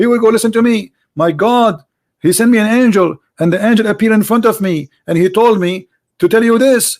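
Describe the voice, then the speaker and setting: Speaking at a very fast pace with an Arabic accent, a man also leaves long, frequent pauses. His pitch is high. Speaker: debate host. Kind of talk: heated debate. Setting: Skype call. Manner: animated, interrupting.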